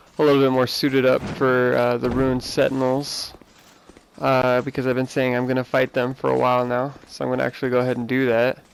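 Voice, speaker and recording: Amid noticeable background noise, a man at medium pitch talks at a very fast pace in a monotone, flat intonation. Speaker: gamer. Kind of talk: let's play commentary. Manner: casual.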